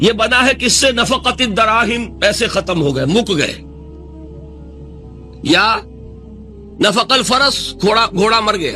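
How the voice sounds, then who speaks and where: Music plays in the background as a man with a high-pitched voice speaks in a raised, projected way. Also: ordinary pitch variation. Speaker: Islamic scholar giving a lecture. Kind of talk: Islamic religious lecture (bayan). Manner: earnest, preaching, fluent.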